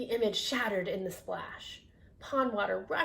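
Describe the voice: The recording is plain reading aloud.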